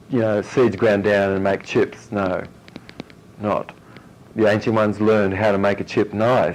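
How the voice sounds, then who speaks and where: Amid noticeable background noise, a man with a fairly low pitch speaks at a moderate pace in a monotone, flat intonation, leaving long, frequent pauses. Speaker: health educator. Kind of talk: workshop lecture with audience questions.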